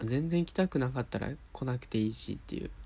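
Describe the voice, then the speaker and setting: A soft-spoken man with a dark, mellow tone is heard on a very clean recording against a silent background. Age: 20s. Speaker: podcast host. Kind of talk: casual monologue. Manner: soft, sleep-inducing.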